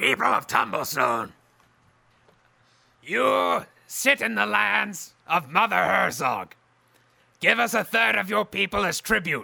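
Putting on a growling character voice with a menacing tone, a man speaks at a high pitch and a fairly slow pace, leaving long, frequent pauses. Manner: menacing, demanding.

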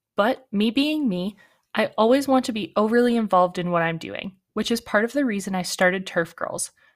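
On a very clean recording with a silent background, a woman with a fairly high pitch speaks at a fairly quick pace with ordinary pitch variation. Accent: Canadian. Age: 20s. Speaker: podcast host, golf course turf worker. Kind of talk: solo podcast monologue.

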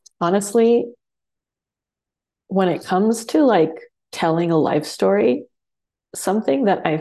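Her tone is dark and mellow, with vocal fry. This woman's intonation is lively. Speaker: spiritual practitioner. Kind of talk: interview. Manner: hesitant.

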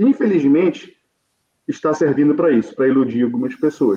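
Here a man talks at a fairly quick pace with lively intonation. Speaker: football fan pundit. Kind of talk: casual football debate.

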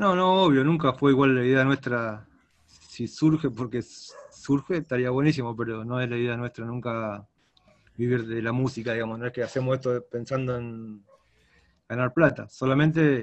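With long, frequent pauses, a man speaks at a moderate pace in a medium-pitched voice with ordinary pitch variation. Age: 50s. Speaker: rock guitarist. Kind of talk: interview.

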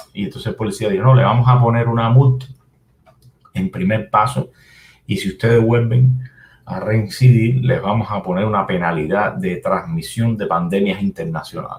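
A man with a Cuban accent, medium in pitch and somewhat breathy, with lively intonation at a moderate pace. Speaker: computer programmer and activist. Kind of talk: interview. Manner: halting.

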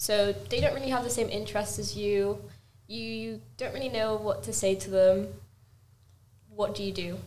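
Noticeable background noise sits behind a woman who speaks at a moderate pace with long, frequent pauses. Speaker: podcast co-host. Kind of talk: casual chat.

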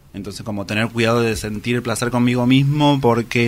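A man's medium pitch with fairly even intonation. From Argentina, Luján (Buenos Aires province). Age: 30s. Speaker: interviewee sharing personal story. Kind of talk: testimony. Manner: halting.

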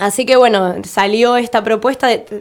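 A woman at a moderate pace and fairly high pitch, an ordinary speaking voice. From Argentina, Tierra del Fuego (Ushuaia). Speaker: visual artist and musician. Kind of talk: radio interview.

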